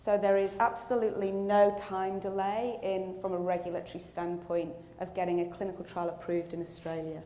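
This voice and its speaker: A woman's medium-pitched voice with a British accent, fairly quick and almost pause-free, fairly even in intonation, amid noticeable background noise and audible room echo. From England. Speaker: clinical research company executive. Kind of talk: conference presentation.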